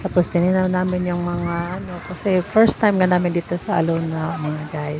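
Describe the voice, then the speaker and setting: A woman speaks at a moderate pace in a fairly low pitch with monotone, flat intonation. Noticeable background noise is present. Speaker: travel vlogger. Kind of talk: travel vlog narration. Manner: hesitant, many fillers.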